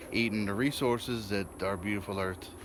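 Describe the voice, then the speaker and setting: Fairly slow speech from a man in an American accent, audible room echo around him. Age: 40s. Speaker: vlogger. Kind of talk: casual vlog.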